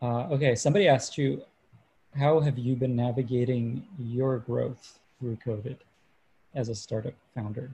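Somewhat breathy, with a dark, mellow tone, the voice keeps a moderate pace and fairly even intonation. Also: man, medium pitch for a man. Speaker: moderator and newsletter writer. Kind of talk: moderated interview.

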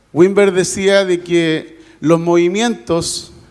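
The man's voice sits at a high pitch. Audible room echo surrounds it. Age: 50s. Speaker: pastor. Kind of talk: sermon. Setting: church. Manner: animated.

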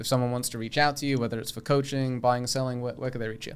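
A man at medium pitch with a British accent. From England. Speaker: podcast host and mortgage broker. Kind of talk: casual interview.

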